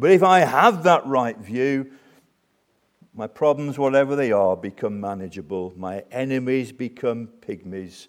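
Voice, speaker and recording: Fairly slow and lively in intonation, a man with a British accent talks at a medium pitch. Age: 60s. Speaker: preacher. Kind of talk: sermon. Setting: church.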